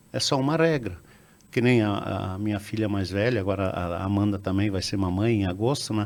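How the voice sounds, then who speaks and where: A man speaks at a fairly quick pace with fairly low pitch. Audible room echo surrounds his voice. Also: ordinary pitch variation. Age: 60s. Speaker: business founder. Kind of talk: interview. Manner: halting, with many repetitions and fillers.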